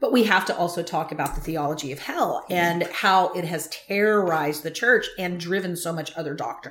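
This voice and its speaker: At a fairly quick pace, a woman with fairly low pitch and ordinary pitch variation speaks in an ordinary speaking voice. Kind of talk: prayer then interview.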